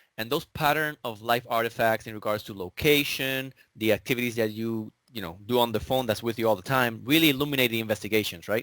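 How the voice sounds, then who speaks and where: In a very clean recording with a silent background, a man with a Spanish accent talks at a very fast pace. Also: medium pitch for a man, ordinary pitch variation. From Puerto Rico. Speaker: digital forensics examiner. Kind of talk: casual interview.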